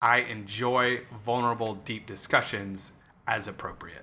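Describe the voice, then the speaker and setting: A man with a bright, sharp tone at a moderate pace. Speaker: podcast co-host. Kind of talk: casual chat. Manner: halting, occasional stutter.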